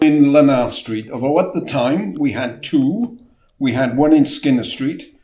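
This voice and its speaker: With a South Wales accent, a man speaks fairly slowly and with lively intonation in a fairly high voice that is dark and mellow in tone. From Wales, Newport. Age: 70s. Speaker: chip shop owner. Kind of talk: interview.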